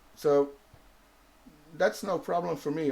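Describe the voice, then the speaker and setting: This man has a Dutch accent and a fairly high pitch. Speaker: vape reviewer and show host. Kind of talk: casual chat on live show. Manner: halting, with false starts.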